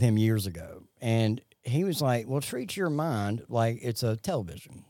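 A man with a Southern US accent talks at medium pitch with lively intonation in a very clean recording with a silent background. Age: 40s. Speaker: recovery podcast co-host. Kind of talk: casual faith-based recovery chat. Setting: Facebook Live podcast.

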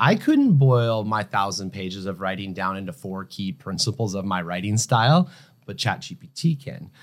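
An unremarkable speaking voice talks at a moderate pace. The recording is very clean, with a silent background. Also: man. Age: 40s. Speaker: photographer and creative company CEO. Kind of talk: casual interview conversation.

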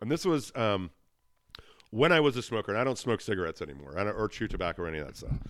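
At a very fast pace, a man speaks with a fairly low pitch, very wide pitch swings and vocal fry. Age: 40s. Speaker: web marketing business owner. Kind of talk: casual chat.

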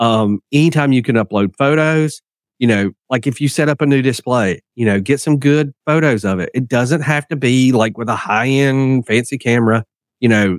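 A man talks at a moderate pace in an ordinary speaking voice, medium in pitch with ordinary pitch variation. The recording is very clean, with a silent background. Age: 40s. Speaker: digital marketing agency partner. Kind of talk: podcast interview.

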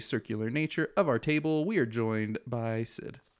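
A man's plain, everyday voice at a moderate pace, lively intonation, and a very clean recording with a silent background. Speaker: podcast host. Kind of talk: casual banter, TV show discussion.

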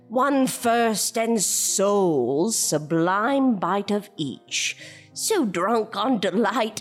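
Over faint music in the background, a put-on character voice moves at a very slow pace. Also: woman, medium pitch for a woman. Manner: flamboyant, dramatic, rhyming verse.

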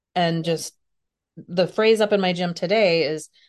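In a quiet background, a woman with a fairly low voice and fairly even intonation speaks in an unremarkable speaking voice. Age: 50s. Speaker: personal trainer and healthcare consultant. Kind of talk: interview.

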